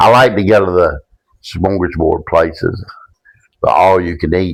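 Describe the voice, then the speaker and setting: With a Southern US accent, a man talks at a moderate pace in a very deep, low pitch and fairly even intonation. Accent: Southern US (Georgia). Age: 60s. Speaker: podcast guest. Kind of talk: casual chat. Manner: halting.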